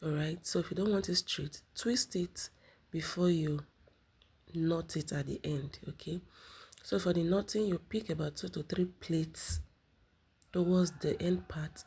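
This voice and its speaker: A woman's fairly low, somewhat breathy voice, dark and mellow in tone, with ordinary pitch variation, a fairly slow pace and long, frequent pauses. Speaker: sewing tutorial creator. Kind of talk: tutorial.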